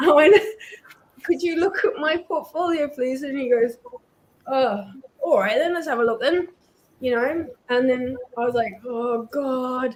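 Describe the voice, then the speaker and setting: A woman speaks at a fairly slow pace with long, frequent pauses. Her pitch is high and her intonation lively. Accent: New Zealand. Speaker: comic artist. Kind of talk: casual storytelling.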